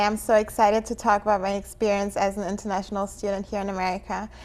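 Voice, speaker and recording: Speaking at a very fast pace, a woman uses a fairly high pitch. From Germany. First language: not English (English is third language). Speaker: international student. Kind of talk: interview.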